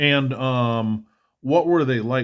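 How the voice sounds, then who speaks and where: In a very clean recording with a silent background, a man with a plain, everyday voice talks at a fairly slow pace with ordinary pitch variation. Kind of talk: casual interview questions.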